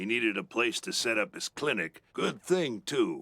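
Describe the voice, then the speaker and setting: A man uses a raspy, put-on character voice at a fairly slow pace. The sound is dry and close, with no echo. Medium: video game. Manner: folksy, plainspoken.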